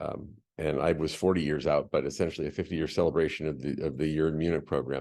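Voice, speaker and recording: Very deep and low, a man's voice carries vocal fry and a dark, mellow tone. He talks at a very fast pace with fairly even intonation. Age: 60s. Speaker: panelist, international school educator. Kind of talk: panel discussion. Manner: halting, many repetitions.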